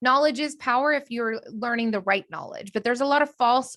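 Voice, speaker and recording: A woman's high, bright, sharp voice sounds animated as she speaks at a fairly quick pace with ordinary pitch variation. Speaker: business coach. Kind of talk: online training. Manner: fast.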